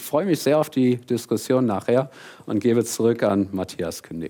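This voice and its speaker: A man's dark, mellow voice at a moderate pace with ordinary pitch variation. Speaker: professor. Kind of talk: lecture. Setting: stage with audience.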